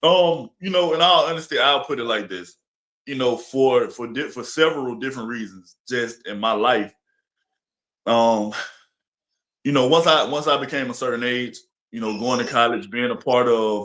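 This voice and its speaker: A man with an Alabama accent speaks at a moderate pace, his pitch medium and its variation ordinary. His loudness swings widely, and he takes long, frequent pauses. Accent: Southern US (Alabama). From Alabama, US South. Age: 30s. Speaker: influencer and entertainer. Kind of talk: interview.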